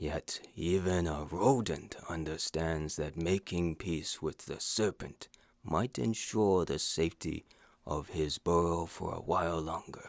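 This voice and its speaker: In a put-on character voice, a man talks at a fairly slow pace with a very deep, low pitch, on a very clean recording with a silent background. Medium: audio drama. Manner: formal, measured.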